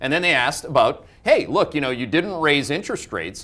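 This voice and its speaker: Speaking at a very fast pace, a man uses a fairly high voice with a bright, sharp tone and vocal fry, his pitch swinging very widely. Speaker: financial market analyst, show host. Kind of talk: live market webcast commentary. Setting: live webcast. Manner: animated, emphatic.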